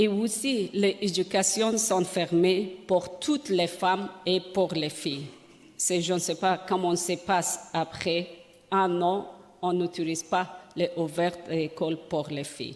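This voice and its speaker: A woman's very slow speech with fairly even intonation amid noticeable background noise. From Afghanistan. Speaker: journalist and women's rights activist. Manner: halting, searching for words.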